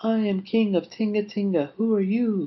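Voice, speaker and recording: Putting on a character voice, a man speaks high for a man at a moderate pace. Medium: read story.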